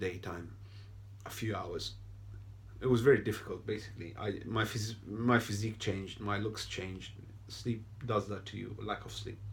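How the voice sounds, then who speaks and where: With a non-native accent and vocal fry, a man speaks at fairly low pitch and moderate pace in a monotone, flat line, leaving long, frequent pauses amid audible room echo. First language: not English. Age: 30s. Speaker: video blogger. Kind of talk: personal testimony. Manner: hesitant, with fillers.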